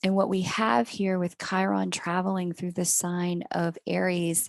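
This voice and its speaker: A woman talks in a normal speaking voice with an American accent, at a fairly low pitch and with ordinary pitch variation. Her fairly slow delivery sounds dry and close with no echo against a quiet background. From United States. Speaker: astrologer. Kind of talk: astrology reading monologue. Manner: casual, self-correcting.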